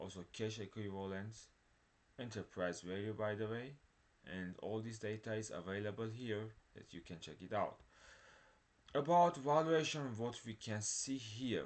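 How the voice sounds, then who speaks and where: Speaking at a moderate pace with fairly low pitch and ordinary pitch variation, the man leaves long, frequent pauses. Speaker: stock market video creator. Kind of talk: screen-share stock analysis tutorial.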